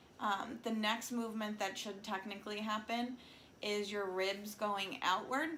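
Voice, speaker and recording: Fairly slow speech from a woman in a fairly high register, ordinary pitch movement, noticeable background noise throughout. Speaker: breathwork and self-care guide. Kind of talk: guided breathing exercise instruction. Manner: casual, conversational.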